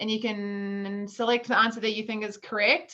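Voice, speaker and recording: A woman with a New Zealand accent speaks in a fairly high pitch with a bright, sharp tone. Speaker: food business co-founder, workshop presenter. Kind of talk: online workshop presentation.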